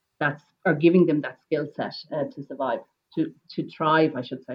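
A woman speaks in a Wexford Irish accent with a very deep, low pitch. Her pace is moderate and her intonation fairly even. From Ireland, North County Wexford. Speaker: flower grower and entrepreneur. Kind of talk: interview.

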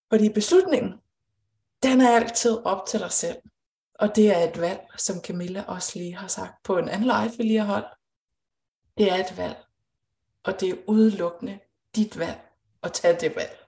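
Dark, mellow and somewhat breathy, a woman speaks at a fairly slow pace with long, frequent pauses. Her loudness swings widely while her pitch varies in an ordinary way. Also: medium pitch for a woman. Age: 30s. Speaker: intuitive coach. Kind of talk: live-streamed conversation.

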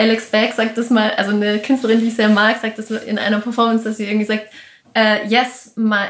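A woman's somewhat breathy, fairly high voice moves along at a moderate pace. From Austria. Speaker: performance and video artist. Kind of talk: interview. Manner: halting, many fillers.

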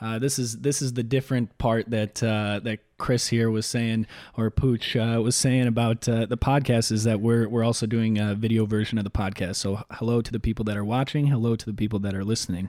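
Speaking in a Chicago accent, the voice has a dark, mellow tone and monotone, flat intonation. It moves at a fairly quick pace with hardly any pauses, on a very clean recording with a silent background. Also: man, medium pitch for a man. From Chicago South Side. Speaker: beer content creator. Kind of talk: casual chat.

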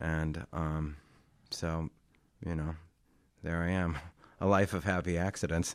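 A man talks at a very deep, low pitch in a monotone, flat intonation. The pace is fairly slow, with long, frequent pauses. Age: 50s. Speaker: artist and art teacher. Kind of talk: interview. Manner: halting, many fillers.

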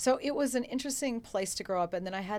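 Lively intonation from a woman with an American accent. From Colorado. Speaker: university faculty member. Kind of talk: interview storytelling. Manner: articulate, even.

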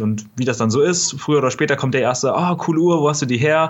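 A man is talking. His pace is very fast. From Germany, near Kassel (northern Hesse). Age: 20s. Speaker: online retailer, e-commerce entrepreneur. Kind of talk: podcast interview.

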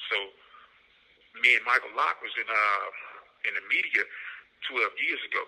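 Speech comes at a moderate pace, broken by long, frequent pauses. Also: man. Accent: American. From Florida. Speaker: prisoner. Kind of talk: phone interview.

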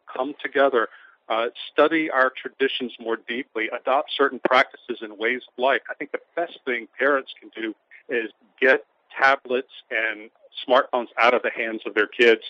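A man with an American accent speaks in a plain, everyday voice at a medium pitch and moderate pace. His intonation is fairly even, but his loudness swings widely. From US South, Louisiana (St. Francisville). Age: 50s. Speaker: author and editor. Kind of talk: interview.

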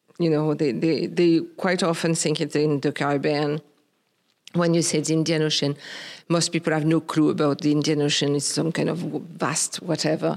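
A woman speaks in a very deep, low voice. Her intonation is monotone and flat, and her loudness stays very even. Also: moderate pace, very clean recording, silent background. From Réunion island. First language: Creole. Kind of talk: interview conversation. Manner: halting, hesitant.

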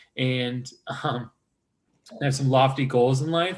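In an American accent, a man with a plain, everyday voice talks at a moderate pace with fairly even intonation. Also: quiet background. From Chicago northwest suburbs, US Midwest. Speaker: pharmaceutical sales rep, MBA alumnus. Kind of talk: interview.

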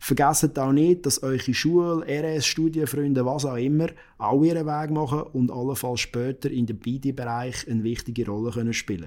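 A man talks at a moderate pace with hardly any pauses. His fairly high pitch shows ordinary variation. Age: 30s. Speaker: lawyer. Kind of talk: interview.

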